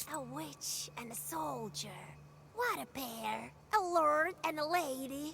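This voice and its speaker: Using a put-on character voice at a high pitch, a woman speaks fairly slowly over clear background noise. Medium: video game. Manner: mocking, evasive.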